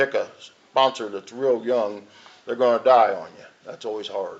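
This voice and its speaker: A man with a plain, everyday voice talks at medium pitch and a moderate pace. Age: 60s. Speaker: recovering alcoholic speaker at AA meeting. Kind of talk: recovery testimony.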